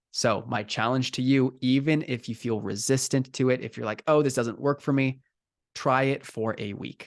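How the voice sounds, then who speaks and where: Against a quiet background, a man speaks in an energetic tone. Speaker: life coach. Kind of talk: recorded coaching session. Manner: fast.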